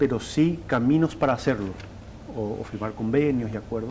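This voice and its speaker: Lively intonation marks the speech. The man delivers it at a fairly quick pace. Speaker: TV journalist. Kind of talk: studio report on interview. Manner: fast.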